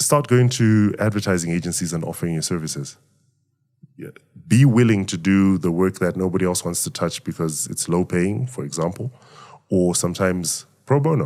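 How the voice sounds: A man's low-pitched voice, slightly mellow in tone, at a moderate pace with ordinary pitch variation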